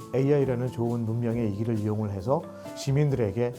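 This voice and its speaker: There is music in the background. Over it, a man is speaking. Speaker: voice actor. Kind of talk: interview answer.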